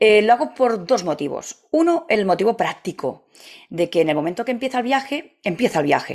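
At a moderate pace, a woman speaks with fairly high pitch and very wide pitch swings. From Catalonia, Spain. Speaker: travel agency founder. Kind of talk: interview.

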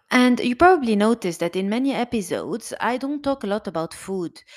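A woman is speaking at a moderate pace. Her intonation is lively. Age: 30s. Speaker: podcast host and emotional eating coach. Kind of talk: monologue book summary. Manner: halting, many fillers.

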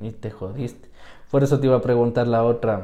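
With a dark, mellow tone, a man speaks at medium pitch and a moderate pace, keeping his intonation fairly even. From Ecuador, Quito (south). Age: 20s. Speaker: podcast co-host. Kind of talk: casual chat.

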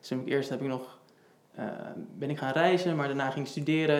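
A man speaks at a fairly quick pace with fairly even intonation. Room echo is audible. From Netherlands, Houten (Utrecht province). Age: 20s. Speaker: project manager and cyclist with type 1 diabetes. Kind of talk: casual interview.

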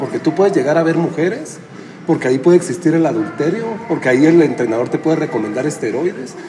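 A man talks at a fairly quick pace with lively intonation. Music plays in the background, and the room echo is audible. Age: 40s. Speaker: gym owner and fitness coach. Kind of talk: casual interview. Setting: gym.

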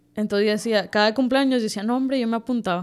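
Talking at a very fast pace, a woman uses a fairly high pitch and lively intonation. The recording is very clean, with a silent background. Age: 20s. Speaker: baker and bakery owner. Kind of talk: casual interview.

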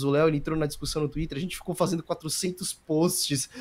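At a moderate pace, a man with a fairly high pitch talks in an ordinary speaking voice with fairly even intonation. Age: 20s. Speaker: esports coach. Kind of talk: casual interview.

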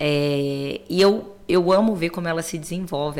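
A woman speaks at a fairly slow pace. Noticeable background noise runs beneath her. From Belo Horizonte, Brazil. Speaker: innovation executive and mentor. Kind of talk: interview.

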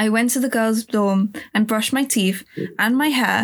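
The clip features a natural reading voice.

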